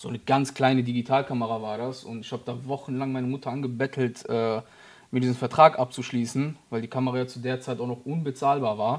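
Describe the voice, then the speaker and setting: A man speaks very fast at a medium pitch, his intonation monotone and flat. His loudness swings widely on a very clean recording with a silent background. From Germany, Frankfurt area. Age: 30s. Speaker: photographer and videographer. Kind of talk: casual interview.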